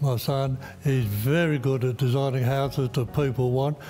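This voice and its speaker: A man with a fairly high voice talks at a moderate speed while music plays behind him. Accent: Australian. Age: 80s+. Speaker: company founder, homebuilder. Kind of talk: interview.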